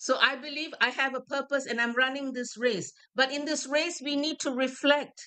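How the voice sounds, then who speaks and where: A woman speaks at a moderate pace with a raised, projected voice, high in pitch. Her tone is animated, bright and sharp. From Malaysia. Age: 60s. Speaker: motivational speaker. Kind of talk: motivational talk.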